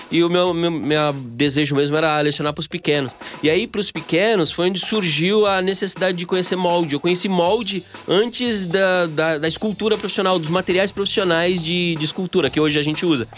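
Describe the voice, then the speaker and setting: A man's high-pitched voice at a fairly quick pace, with ordinary pitch variation and music in the background. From Bahia backlands, Brazil. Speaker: sculptor and mold maker. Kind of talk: casual interview.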